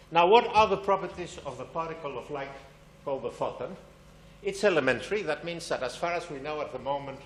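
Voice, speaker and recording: Very fast speech with big swings in loudness, audible room echo and noticeable background noise. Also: man, high pitch for a man, ordinary pitch variation. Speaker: physics lecturer. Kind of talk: public science lecture.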